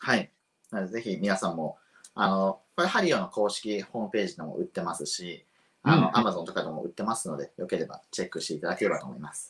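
A man at a very fast pace with big swings in loudness. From Japan, Shiga Prefecture. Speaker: coffee roaster and shop owner. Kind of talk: explanatory lecture.

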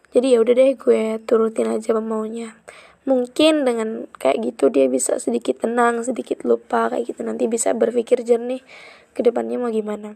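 A woman speaks at a moderate pace in a dry, close recording with no echo. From Central Java (Kebumen). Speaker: podcaster. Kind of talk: casual monologue. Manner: chatty, frequent laughs.

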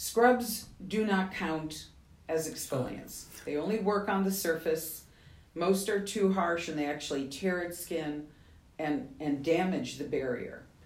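Over noticeable background noise and audible room echo, a woman with an American accent speaks at a fairly slow pace and fairly low pitch, with ordinary pitch variation. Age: 70s. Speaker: skincare company founder. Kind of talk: interview.

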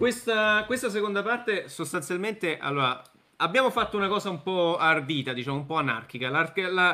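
A normal speaking voice from a man, with lively intonation and a fairly quick pace. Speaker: live stream host, neurosurgeon. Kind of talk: live panel discussion. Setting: video call.

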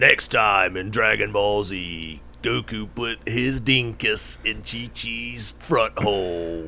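In a put-on character voice, the speaker goes at a very slow pace with lively intonation over clear background noise. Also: man, fairly low pitch for a man, hardly any pauses. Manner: dramatic announcer delivery.

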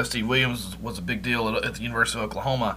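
Talking at a very fast pace in a Southern US accent, a man with a medium pitch has a bright, sharp tone, vocal fry, and ordinary pitch variation. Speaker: podcast co-host. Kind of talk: casual interview.

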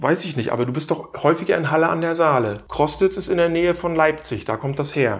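A man with a normal speaking voice, fairly high in pitch, talks at a fairly quick pace with hardly any pauses and ordinary pitch variation. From East Germany. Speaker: podcast co-host. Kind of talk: casual chat.

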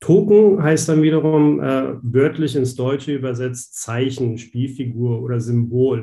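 A man speaks at a medium pitch in a dark, mellow, somewhat breathy voice, with ordinary pitch variation. His pace is fairly slow, with hardly any pauses. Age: 30s. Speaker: banking innovation specialist. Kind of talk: interview.

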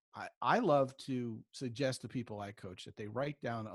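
Over a very clean recording with a silent background, a somewhat breathy man speaks with ordinary pitch variation, dry and close with no echo. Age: 50s. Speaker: relationship coach. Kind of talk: interview.

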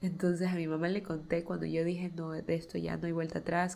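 A woman at a fairly low pitch, with flat monotone intonation and a fairly quick pace. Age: 20s. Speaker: podcast host. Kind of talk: solo podcast monologue. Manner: casual, chatty.

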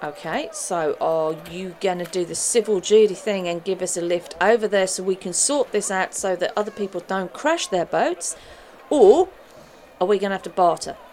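Noticeable background noise runs under the speech. A woman talks at a medium pitch with ordinary pitch variation. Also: moderate pace. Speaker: tabletop game player. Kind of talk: casual in-character roleplay and chat.

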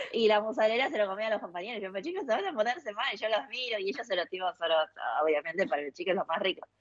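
A woman's very fast, fairly high-pitched speech with very wide pitch swings. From China, then Argentina from age nine. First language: Chinese (speaking Spanish). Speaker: cook and food influencer. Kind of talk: casual interview.

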